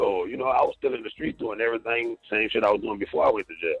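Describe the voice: Over faint background music, a man talks at a fast pace with a fairly low pitch, a slightly husky edge, vocal fry and ordinary pitch variation.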